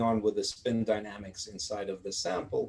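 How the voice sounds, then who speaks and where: The man's voice is somewhat breathy. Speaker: physics professor. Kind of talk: lecture. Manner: fast; halting, many fillers.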